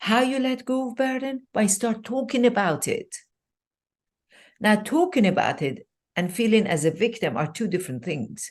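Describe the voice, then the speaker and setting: A woman's fairly high, fry-tinged voice with very wide pitch swings at a moderate pace against a quiet background. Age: 60s. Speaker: life coach. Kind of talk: podcast interview. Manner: animated.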